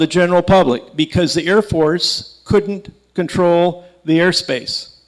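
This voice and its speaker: A man speaks in an American accent at a high pitch. His intonation stays fairly even. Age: 60s. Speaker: aerospace engineer and author, lecturer. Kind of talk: public lecture with slides. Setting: stage with live audience. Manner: conversational, halting with fillers and restarts.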